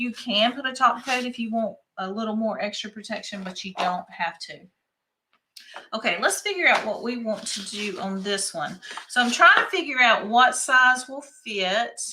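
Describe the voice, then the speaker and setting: An American-accented woman with a fairly high voice and lively intonation speaks at a moderate pace, her loudness swinging widely. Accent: Southern US, country, calmed down with age. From rural North Carolina. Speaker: craft shop owner. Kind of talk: live-stream craft tutorial. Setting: live stream. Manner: chatty, casual.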